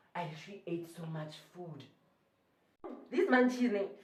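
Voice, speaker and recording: The tone is animated. It comes with a South African accent. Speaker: YouTuber. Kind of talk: storytelling vlog.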